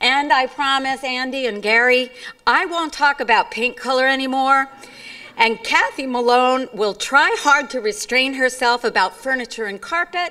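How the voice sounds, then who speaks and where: A woman's raised, projected voice at a moderate pace, with ordinary pitch variation. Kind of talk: formal speech. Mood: light, humorous. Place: stage. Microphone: podium.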